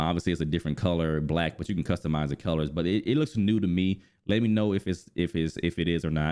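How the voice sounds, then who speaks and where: A man speaks fairly quickly with a very deep, low pitch and ordinary pitch variation. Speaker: gaming youtuber. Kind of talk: video commentary. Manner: fast; enthusiastic.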